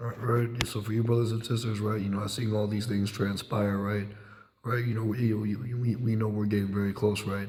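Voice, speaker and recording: Speaking fairly quickly in a flat monotone, a man with a fairly low pitch is heard over noticeable background noise and audible room echo. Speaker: religious teacher. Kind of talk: religious discussion. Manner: halting, many repetitions.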